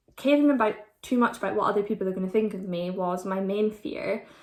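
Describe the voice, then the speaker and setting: A woman with an Aberdeen accent, medium in pitch, at a moderate pace with ordinary pitch variation. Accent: Scottish (Aberdeen). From Scotland, Aberdeen. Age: 20s. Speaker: vlogger. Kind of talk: casual Q&A vlog.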